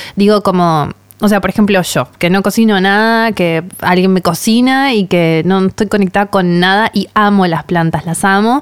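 A woman with a plain, everyday voice speaks at a moderate pace in a medium pitch, with ordinary pitch variation, very even loudness and hardly any pauses. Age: 30s. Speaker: podcast host and author. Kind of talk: podcast interview and storytelling.

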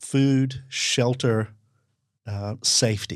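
In a very clean recording with a silent background, someone with an Australian accent speaks at a very slow pace with ordinary pitch variation. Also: man. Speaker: self-awareness coach. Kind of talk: casual conversation.

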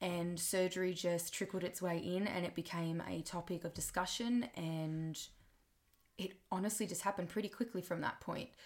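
A woman with an Australian accent, fairly low in pitch, at a moderate pace. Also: fairly even intonation. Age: 20s. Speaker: podcaster and music teacher. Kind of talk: personal monologue.

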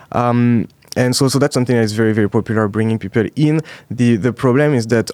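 A man's French-accented voice, fairly even in intonation, dry and close with no echo. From France, Alsace. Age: 20s. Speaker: startup founder. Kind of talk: interview. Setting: studio.

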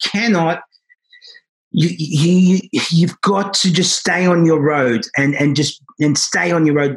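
A man's high voice with an Australian accent, at a fairly slow pace with ordinary pitch variation. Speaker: salon owner. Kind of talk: interview. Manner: animated.

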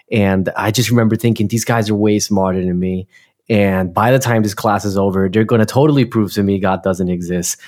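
With a New Jersey accent, a man talks at a fairly quick pace. His pitch is fairly low and his intonation fairly even. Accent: New Jersey American. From US Northeast, Newark, New Jersey. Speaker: pastor. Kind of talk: interview.

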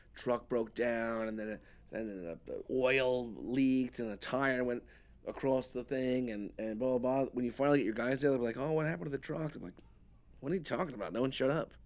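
A man's medium-pitched voice with a New York accent and ordinary pitch variation. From New York, Queens. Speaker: moving company owner. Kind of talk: casual chat.

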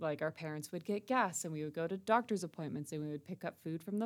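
Her voice is fairly low for a woman, with ordinary pitch variation. The recording is very clean, the background silent. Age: 20s. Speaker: podcast host and communication student. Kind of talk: casual monologue. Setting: recording studio space.

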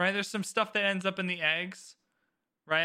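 On a very clean recording with a silent background, a man raises and projects his voice. His pitch is high and his tone bright and sharp. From Canada. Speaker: podcast host. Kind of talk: casual chat.

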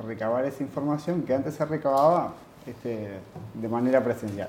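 At a moderate pace, a man of medium pitch talks with ordinary pitch variation. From Uruguay. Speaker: university lecturer and project manager. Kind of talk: interview.

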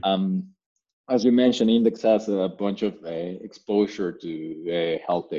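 In a Spanish accent, a man talks at a fairly slow pace with fairly even intonation. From Mexico. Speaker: health tech startup founder. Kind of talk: interview. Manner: hesitant, many fillers.

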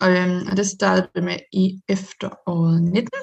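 A woman at a medium pitch speaks at a very slow pace in a somewhat breathy voice. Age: 20s. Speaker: singer-songwriter and lawyer. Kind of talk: casual interview. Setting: video call.

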